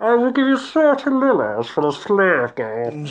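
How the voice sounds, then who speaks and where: The voice is a put-on character voice with a fairly high pitch. It moves at a fairly slow pace. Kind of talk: refined, upper-class.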